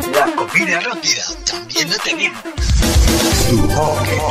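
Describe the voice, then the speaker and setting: Loud music plays in the background. Over it, a man talks at a fairly slow pace. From Venezuela. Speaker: voice actor. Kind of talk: radio commercial read.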